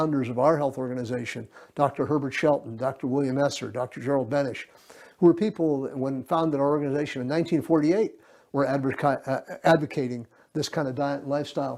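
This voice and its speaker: The man's voice sits fairly high, and he speaks very fast. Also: fairly even intonation. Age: 70s. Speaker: health association president. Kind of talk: interview monologue. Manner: hesitant with frequent fillers.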